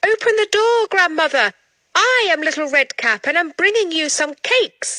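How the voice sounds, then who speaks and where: A woman uses a put-on character voice that is squeaky and extremely high in pitch. She speaks at a moderate pace. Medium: read story.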